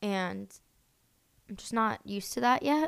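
A woman with an American accent speaks at medium pitch. Her pace is fairly slow. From US Northeast, Pennsylvania (Boyertown). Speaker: podcast co-host. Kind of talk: casual chat.

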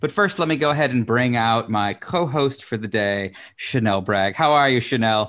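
With a normal speaking voice and an American accent, a man at a medium pitch talks at a moderate pace with lively intonation. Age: 40s. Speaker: talk show host. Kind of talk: interview.

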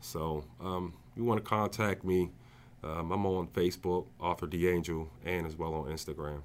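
Very deep and low, a man with an American accent speaks at a moderate pace with fairly even intonation in a very clean recording with a silent background. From New Jersey. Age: 40s. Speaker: author. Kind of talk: casual interview.

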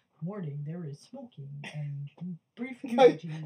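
A put-on character voice at middle pitch and moderate pace. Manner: flat, formal announcer reading.

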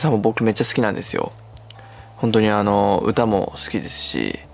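Noticeable background noise sits behind a man's voice. He speaks at a moderate pace with a fairly low pitch for a man. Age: 20s. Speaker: solo podcaster and amateur guitar singer. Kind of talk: casual monologue. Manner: halting, many fillers.

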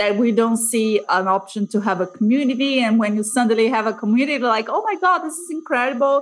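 With noticeable background noise, a woman talks at a fairly high pitch with ordinary pitch variation. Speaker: podcast host. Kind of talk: interview.

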